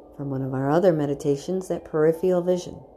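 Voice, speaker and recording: This woman's voice has a gentle tone. Her pitch is very deep and low, with ordinary variation. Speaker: meditation guide. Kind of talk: guided meditation. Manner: gentle, reassuring, instructive.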